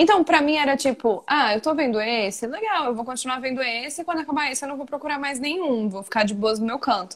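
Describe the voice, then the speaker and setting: Lively intonation carries speech delivered at a very fast pace with hardly any pauses. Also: woman, high pitch for a woman. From Pernambuco, Brazil. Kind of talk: casual chat. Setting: live stream. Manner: fast talker.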